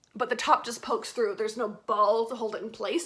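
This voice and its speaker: A woman's fairly high-pitched voice with noticeable background noise. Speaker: vlogger and witchcraft teacher. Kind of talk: casual vlog chat. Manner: casual with many fillers.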